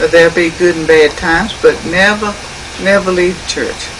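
A woman speaks at a moderate pace. Noticeable background noise runs underneath. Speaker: interviewee. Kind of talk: interview answer. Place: home room. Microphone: old recording.

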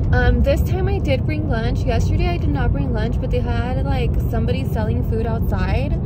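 Over loud background noise, a woman talks at a moderate pace with hardly any pauses and ordinary pitch variation, in a dry sound with no echo. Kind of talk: casual vlog chat. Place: car. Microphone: phone near.

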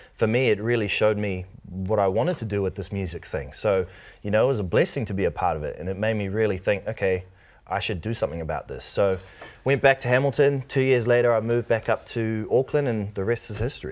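A very fast-talking man with a New Zealand accent and ordinary pitch variation. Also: fairly low pitch for a man. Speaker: singer-songwriter and producer. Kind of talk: casual interview chat. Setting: TV studio. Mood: relaxed, cheerful storytelling. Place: studio. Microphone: lapel.

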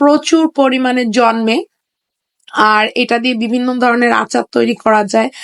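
In a dry, close sound with no echo, a woman speaks at a high pitch with fairly even intonation. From Bagerhat, Bangladesh. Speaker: travel vlogger. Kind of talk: travel vlog narration.

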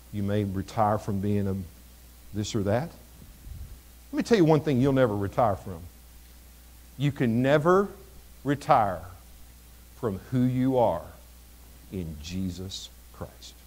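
A man speaks with a fairly low pitch and an American accent. His pace is fairly slow, broken by long, frequent pauses. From Missouri, US Midwest. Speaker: pastor. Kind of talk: sermon. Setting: church. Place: church.

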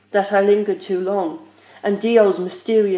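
Someone is doing plain reading aloud. The intonation stays fairly even.

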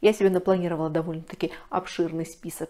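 A woman speaks in a dark, mellow tone. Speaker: book blogger. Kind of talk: casual vlog chat. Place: home room.

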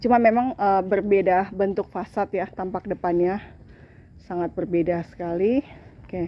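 A woman talks at a moderate pace and medium pitch with fairly even intonation, and the sound is dry with no echo. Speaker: property marketer. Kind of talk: sales pitch, walking property tour. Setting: walking through a house on camera. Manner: salesy, exclaiming praise. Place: street. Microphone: phone near.

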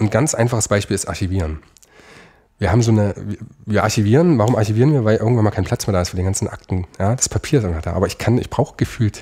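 A man speaks at a very fast pace, somewhat breathy and fairly low, with a dark, mellow tone. The recording is very clean, with a silent background. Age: 30s. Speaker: lawyer, law firm founder. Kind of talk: interview.

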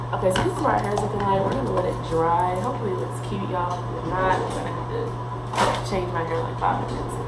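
A woman talks at a very fast pace. Loud background noise is present. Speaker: beauty vlogger. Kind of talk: casual vlog chat. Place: bathroom. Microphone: phone near.

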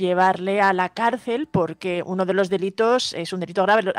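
Against a quiet background, a woman speaks at a moderate pace with ordinary pitch variation in a dry sound with no echo. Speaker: news presenter. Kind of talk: news reading. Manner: halting. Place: studio. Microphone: studio mic.

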